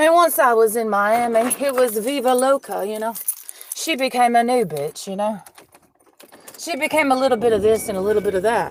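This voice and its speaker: Speaking with a Southern US accent, a woman sounds animated, with lively intonation. Her pitch is fairly high and her pace fairly quick. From Georgia, US South. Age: 30s. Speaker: livestreamer. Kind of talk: casual monologue. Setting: in a car. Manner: rambling, animated.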